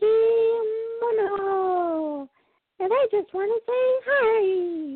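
Putting on a squeaky character voice, a woman speaks very slowly at an extremely high pitch with lively intonation. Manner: playful shout-out.

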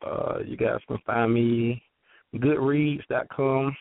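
A man is speaking. He has a Southern US accent. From Georgia, US South. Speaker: author and business speaker. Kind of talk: interview, sharing wisdom.

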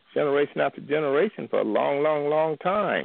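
Pitched fairly high, a man with an ordinary speaking voice keeps to a moderate pace. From Bryan, Texas. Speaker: caller. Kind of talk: call-in discussion on church. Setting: phone call.

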